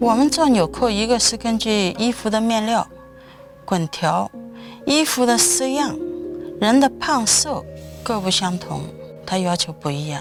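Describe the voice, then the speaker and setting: Over music in the background, a woman speaks at a fairly slow pace with long, frequent pauses, a fairly high pitch and very wide pitch swings. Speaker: knot button maker. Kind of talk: interview answer.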